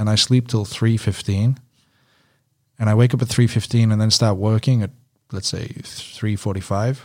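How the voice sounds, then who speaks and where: A man's monotone, flat delivery at a moderate pace, broken by long, frequent pauses. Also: medium pitch for a man. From UK. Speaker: strength and conditioning coach. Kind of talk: casual interview.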